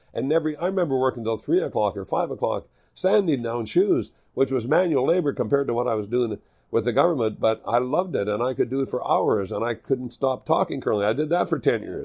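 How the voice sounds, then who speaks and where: Talking at a very fast pace with lively intonation, a man with a medium pitch speaks in a Canadian Prairies accent. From Manitoba, Canada. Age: 60s. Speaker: curling equipment entrepreneur and former curler. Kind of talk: podcast interview.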